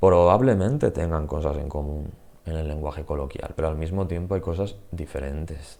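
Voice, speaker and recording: This man has a very deep, low pitch and a dark, mellow tone. His pace is moderate, and his pitch varies in an ordinary way. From Spain, Murcia. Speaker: Spanish teacher. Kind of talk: channel introduction, casual monologue. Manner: hesitant, with fillers.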